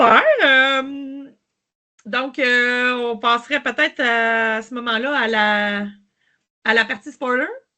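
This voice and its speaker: In a Quebec accent, a woman with a high pitch and a bright, sharp tone speaks at a very slow pace with fairly even intonation. Long, frequent pauses break up her speech against a quiet background. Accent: Québécois. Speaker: podcast host. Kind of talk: casual chat. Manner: halting, many fillers and repetitions.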